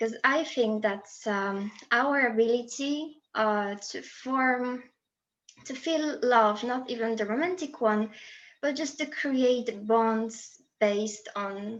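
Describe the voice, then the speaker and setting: This woman speaks very slowly with a Polish accent. Her pitch is fairly high, with ordinary pitch variation. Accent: Polish accent, new to Brazilian listeners. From Poland. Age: 20s. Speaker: student and presentation speaker. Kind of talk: presentation.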